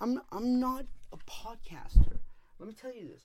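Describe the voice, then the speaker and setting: The tone is animated. The pace is fairly slow. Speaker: podcast host. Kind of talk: casual rambling podcast chat. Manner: rambling, animated, with many filler words.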